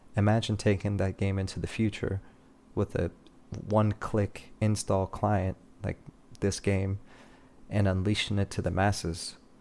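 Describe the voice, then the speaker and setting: The speaker has a non-native accent and a monotone, flat intonation. The pace is moderate, with long, frequent pauses. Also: man. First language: not English. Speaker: streamer. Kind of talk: casual livestream chat.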